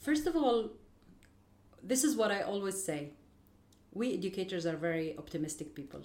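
A woman's medium-pitched voice with an Arabic accent, very wide pitch swings, a moderate pace, long and frequent pauses, and audible room echo. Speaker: educator. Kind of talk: interview.

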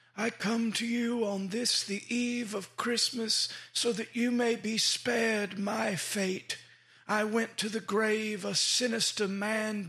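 A man uses a put-on character voice. It sits high in pitch, with monotone, flat intonation. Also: fairly slow pace. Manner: foreboding.

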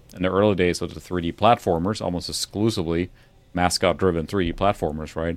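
Very deep and low, a man's voice races at a very fast pace with fairly even intonation. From Sweden. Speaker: retro gaming YouTuber, occasional co-host. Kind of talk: casual chat.

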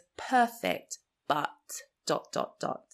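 Very slowly, a woman speaks. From Nigeria. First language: Igbo. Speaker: podcast host. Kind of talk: reflective solo podcast monologue.

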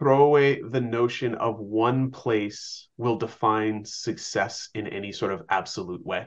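Man with an ordinary speaking voice, medium pitch and ordinary pitch variation, against a quiet background. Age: 50s. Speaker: education testing advocate. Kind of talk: interview.

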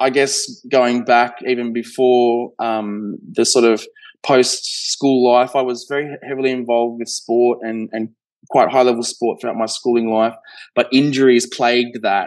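Fairly even in intonation, a man speaks with an Australian accent. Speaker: healthcare investor, former physiotherapist. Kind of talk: interview conversation. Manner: hesitant, many fillers.

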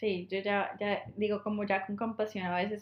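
A woman's medium-pitched voice with a Colombian accent, monotone, flat intonation and a moderate pace. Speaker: podcast co-host. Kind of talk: casual chat. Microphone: poor recording quality.

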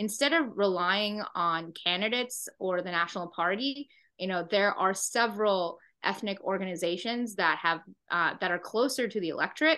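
The woman has an ordinary speaking voice, medium in pitch, with ordinary pitch variation. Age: 30s. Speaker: state senator. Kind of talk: interview.

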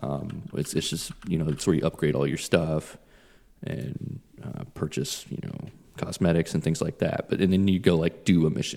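Speaking at a moderate pace, a man with a very deep, low voice and a dark, mellow tone shows vocal fry and ordinary pitch variation. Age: 30s. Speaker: podcast co-host. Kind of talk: casual chat.

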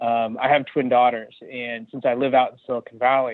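Speaking at medium pitch, a man has an American accent. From US West Coast, California. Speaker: tech executive. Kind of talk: interview. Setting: phone call.

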